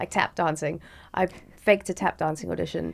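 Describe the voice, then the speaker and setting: A woman's fairly quick speech with a South African accent. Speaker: motorsport presenter. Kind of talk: podcast interview. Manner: fast; bubbly.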